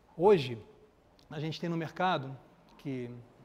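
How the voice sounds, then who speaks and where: A man with a Carioca accent speaks with ordinary pitch variation. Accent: Carioca (Rio) accent, kept. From Rio de Janeiro, Brazil. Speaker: architecture photographer. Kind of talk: lecture. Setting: event hall with live audience, no microphone. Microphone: speaking without a microphone.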